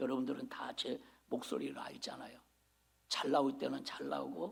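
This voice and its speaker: A man is whispering. His voice carries an audible room echo. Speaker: senior pastor. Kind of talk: sermon. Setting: church service. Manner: animated, exclamatory preaching.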